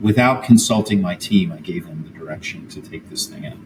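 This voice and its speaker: Speaking at a fairly quick pace with an American accent, a man uses a fairly low pitch, ordinary pitch variation, and a somewhat breathy voice. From US Northeast, near Philadelphia. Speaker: HR executive and author. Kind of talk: interview conversation. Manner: hesitant with filler words.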